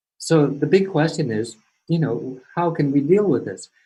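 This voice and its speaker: A somewhat breathy man with an American accent, fairly high in pitch, at a moderate pace with ordinary pitch variation. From US West Coast (California). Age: 60s. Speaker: climate change speaker. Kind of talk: lecture. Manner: halting, many repeated words and fillers.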